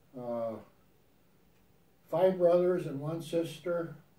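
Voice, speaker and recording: A man's fairly high-pitched voice in a dark, mellow tone with an American accent and ordinary pitch variation, plus audible room echo. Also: long, frequent pauses. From Wisconsin, US Midwest. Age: 80s+. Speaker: grandfather interviewed about his life. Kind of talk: family interview. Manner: halting.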